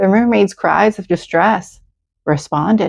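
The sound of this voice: The background is silent apart from the speaker. An unforced reading voice is heard.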